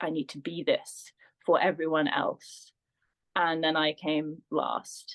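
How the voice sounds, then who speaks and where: The speech moves at a very slow pace. The sound is dry and close, with no echo. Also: woman. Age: 30s. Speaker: womb healing and feminine embodiment practitioner. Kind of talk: podcast interview. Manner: hesitant, with frequent fillers.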